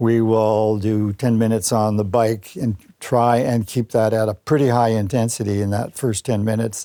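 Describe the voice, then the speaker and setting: The voice has a dark, mellow tone with a Canadian accent. The recording is very clean, with a silent background. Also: man. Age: 90s. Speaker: sports medicine doctor, former Olympic athlete. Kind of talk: interview answer. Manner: lively, opinionated.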